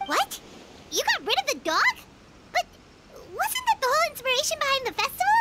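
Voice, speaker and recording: Over light background noise, a put-on character voice races along at a very fast pace at an extremely high pitch. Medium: video game. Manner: excitable, speaks of self in third person.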